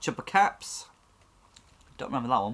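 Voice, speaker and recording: A man with a British accent. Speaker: toy unboxing youtuber. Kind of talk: casual unboxing chat.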